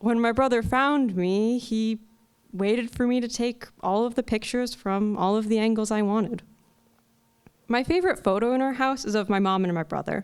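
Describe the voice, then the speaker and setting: The woman's pitch is fairly high, with ordinary variation. She talks at a moderate pace. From Connecticut. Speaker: storyteller. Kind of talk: live personal storytelling performance. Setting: live event stage. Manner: quiet, soft-spoken.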